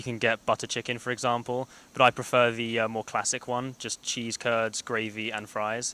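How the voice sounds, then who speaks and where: At a fairly quick pace, a man with a London accent speaks at medium pitch in a bright, sharp tone, with a dry, close sound with no echo. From London, England. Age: young. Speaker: college soccer player. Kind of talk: casual interview.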